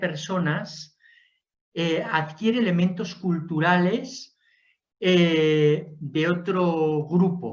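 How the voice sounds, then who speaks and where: Someone speaks at a very slow pace in a Spanish accent. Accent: Spanish (Spain). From Spain. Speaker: lecturer on Jesuit history. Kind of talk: lecture Q&A.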